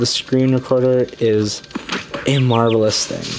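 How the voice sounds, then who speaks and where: A fairly slow delivery with music in the background. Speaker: gaming youtuber. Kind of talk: let's play commentary. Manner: casual, rambling with fillers.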